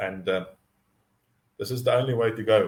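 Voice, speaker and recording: At a moderate pace, a man talks in a medium-pitched, somewhat breathy voice. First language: Afrikaans. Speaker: mindset coach. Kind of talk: live teaching stream. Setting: live online stream. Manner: halting, many repetitions and fillers.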